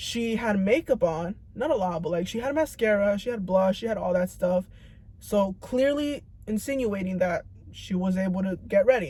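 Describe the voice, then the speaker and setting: A woman's medium-pitched, somewhat breathy voice with a dark, mellow tone, lively intonation and a moderate pace. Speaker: vlogger. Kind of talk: casual monologue. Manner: stuttering, mumbling; halting.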